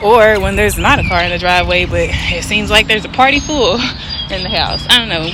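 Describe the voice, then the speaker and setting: A woman talks at a fairly quick pace with hardly any pauses. Noticeable background noise runs underneath. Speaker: poet. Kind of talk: casual talk to camera. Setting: outdoors.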